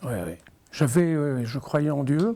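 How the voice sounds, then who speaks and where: The recording is very clean, with a silent background. A man speaks in a fairly high pitch with a dark, mellow tone. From Normandy, France (Elbeuf). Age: 60s. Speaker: religious convert. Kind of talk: testimony. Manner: halting.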